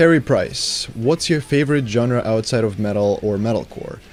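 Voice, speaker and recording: A man with a Ukrainian accent speaks at medium pitch. He keeps a moderate pace with ordinary pitch variation. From Ukraine. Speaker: YouTuber, metal music reviewer. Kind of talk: Q&A answering viewer questions. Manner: casual, some hesitations.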